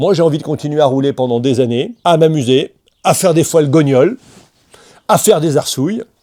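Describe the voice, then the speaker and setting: With a dark, mellow tone and a fairly high pitch, a man talks at a fairly quick pace, leaving long, frequent pauses, his loudness very even and his pitch variation ordinary. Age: 60s. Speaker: motorcycle vlogger. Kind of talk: vlog monologue.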